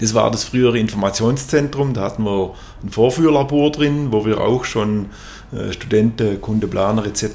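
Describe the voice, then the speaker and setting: Spoken at a moderate pace with ordinary pitch variation, the clip carries noticeable background noise. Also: man, medium pitch for a man. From Swabia, southern Germany (near Tuttlingen). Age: 50s. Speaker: company executive. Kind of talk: interview.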